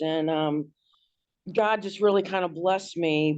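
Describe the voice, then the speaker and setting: A woman's plain, everyday voice, medium in pitch, with fairly even intonation at a moderate pace against a quiet background. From Washington D.C., US. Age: 60s. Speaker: abuse survivor, hairdresser. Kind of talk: interview testimony.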